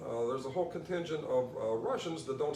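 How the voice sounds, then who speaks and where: Through audible room echo and noticeable background noise comes a man's fairly high voice. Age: 60s. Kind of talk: interview. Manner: halting, repeats words.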